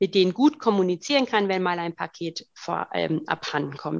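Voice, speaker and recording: Vocal fry runs through a woman's voice as she talks at a fairly quick pace. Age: 30s. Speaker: co-founder of a sustainable online shop. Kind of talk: interview.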